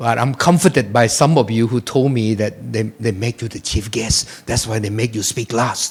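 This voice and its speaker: A man's somewhat breathy, medium-pitched voice at a moderate pace, with ordinary pitch variation and hardly any pauses. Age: 60s. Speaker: chief guest speaker, former politician. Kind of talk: speech.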